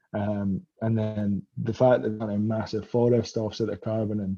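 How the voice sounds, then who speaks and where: A man's dark, mellow tone at a medium pitch, in a Scottish accent. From Scotland. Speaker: graduate student. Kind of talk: casual chat.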